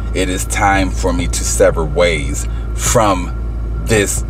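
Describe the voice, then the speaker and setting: Clear music plays behind a man who speaks very slowly, the sound dry with no echo. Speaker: vlogger. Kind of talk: casual vlog chat. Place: car. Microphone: phone near.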